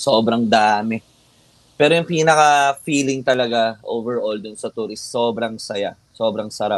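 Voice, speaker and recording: A man with a plain, everyday voice speaks at a fairly slow pace, medium in pitch with ordinary pitch variation. His loudness swings widely. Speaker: metal band vocalist. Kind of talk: casual interview chat.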